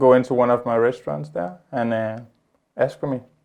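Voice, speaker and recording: Speaking with a Spanish accent, a man uses a medium pitch and ordinary pitch variation. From Colombia. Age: 20s. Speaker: chef and restaurant owner. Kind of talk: interview. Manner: halting, repeats words.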